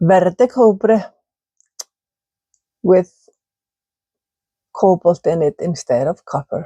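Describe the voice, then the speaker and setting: Speaking very slowly with long, frequent pauses, a woman has a somewhat breathy, medium-pitched voice with a dark, mellow tone, and the sound is dry and close with no echo. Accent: Icelandic. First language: Icelandic. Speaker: ceramic artist. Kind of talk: casual video talk, kiln reveal. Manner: halting.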